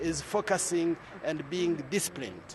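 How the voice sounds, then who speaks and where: A man talks fairly slowly in a high voice, with noticeable background noise behind him. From Rwanda. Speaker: church youth movement leader. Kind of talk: interview.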